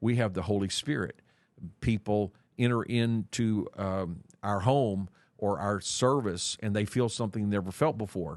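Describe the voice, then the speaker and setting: A man speaks in a plain, everyday voice, fairly low in pitch with ordinary variation. He talks at a moderate pace against a quiet background. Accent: American. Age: 60s. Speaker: church leader. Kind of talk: interview.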